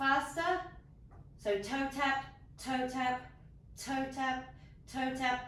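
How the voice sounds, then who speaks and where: Speaking at a very slow pace, a woman uses a high pitch, and audible room echo follows her words. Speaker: yoga instructor. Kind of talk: guided exercise class.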